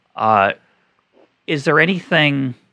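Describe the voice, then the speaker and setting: A man with an American accent speaks in a bright, sharp tone. Vocal fry runs through his voice. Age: 50s. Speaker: podcast host, economist. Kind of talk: interview conversation.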